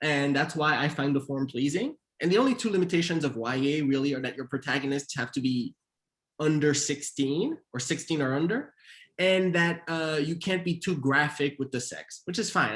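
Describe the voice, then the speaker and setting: A man with a Haitian accent speaks at a moderate pace in a fairly high pitch. His pitch variation is ordinary, and the recording is very clean with a silent background. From Montreal, Canada. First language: Haitian Creole. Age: 30s. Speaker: author and screenwriter. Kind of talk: author interview. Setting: virtual event.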